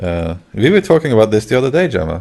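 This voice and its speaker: The voice belongs to a man. It sits on the fairly low side. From Norway. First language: Norwegian. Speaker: gaming livestreamer. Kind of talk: casual chat. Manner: halting.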